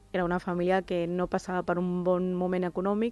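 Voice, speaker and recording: Moderately paced speech from a woman in a medium pitch, music playing behind her. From Barcelona, Catalonia (born in Pakistan, moved at three). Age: 20s. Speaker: interviewee sharing life story. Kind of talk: personal testimony.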